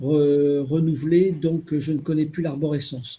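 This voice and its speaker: At a fairly slow pace, a man speaks in a fairly high, somewhat breathy voice with a dark, mellow tone and monotone, flat intonation. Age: 60s. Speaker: retired riding master. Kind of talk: web conference talk. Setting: video call.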